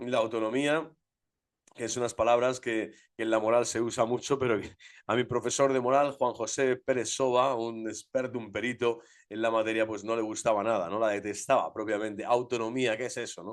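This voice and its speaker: Against a quiet background, a man speaks at a fairly quick pace in a medium pitch with an animated tone. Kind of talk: lecture. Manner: fast.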